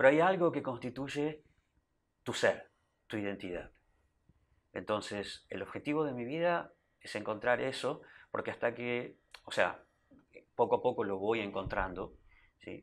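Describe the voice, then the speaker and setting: A man with an Argentine accent speaks at a fairly slow pace and medium pitch, using lively intonation and long, frequent pauses. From Argentina. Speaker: Hare Krishna devotee; interview guest. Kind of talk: interview. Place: studio. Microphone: lapel.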